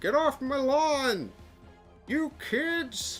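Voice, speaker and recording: A put-on character voice plays over clear music in the background. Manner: grumpy, shouting.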